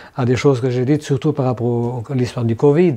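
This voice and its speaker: Fairly quickly and with ordinary pitch variation, a man speaks in a dark, mellow tone. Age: 70s. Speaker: cartoonist and activist. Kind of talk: interview. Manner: halting, many fillers.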